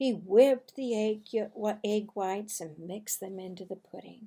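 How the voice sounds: A woman speaks at a fairly slow pace in a dark, mellow tone. Her pitch variation is ordinary, with a slightly husky edge. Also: medium pitch for a woman.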